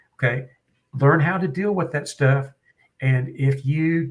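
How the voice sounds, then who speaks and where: A man with a Western Oklahoma accent speaks at a fairly slow pace. His voice is somewhat breathy and fairly high in pitch. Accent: Western Oklahoma twang. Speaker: firearms trainer. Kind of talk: podcast interview.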